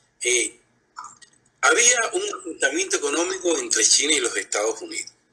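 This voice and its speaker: A man is speaking. His pace is fairly slow. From Cuba. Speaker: blogger and social media activist. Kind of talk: live interview. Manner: calm, conversational, even tone; hesitant, many fillers.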